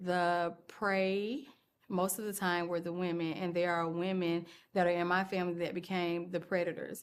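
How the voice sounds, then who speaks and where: A woman's fairly low-pitched voice with monotone, flat intonation. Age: 40s. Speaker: video blogger. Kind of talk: personal testimony. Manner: slow.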